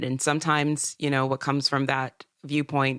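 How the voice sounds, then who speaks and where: With an American accent, a woman speaks fairly quickly in a very deep, low pitch and a flat monotone, on a very clean recording with a silent background and a dry, close sound without echo. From US South, upstate South Carolina. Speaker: singer-songwriter. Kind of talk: interview.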